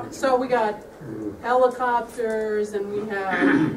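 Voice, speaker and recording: Noticeable background noise and audible room echo fill the recording. The intonation stays fairly even. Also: woman. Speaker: coworker giving retirement gift. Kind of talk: retirement party speech. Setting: room with audience, no microphone. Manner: loud.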